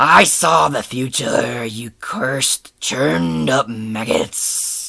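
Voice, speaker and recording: A man puts on a gruff, strained character voice at medium pitch. He speaks at a very slow pace, with very wide pitch swings. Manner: growling acted delivery.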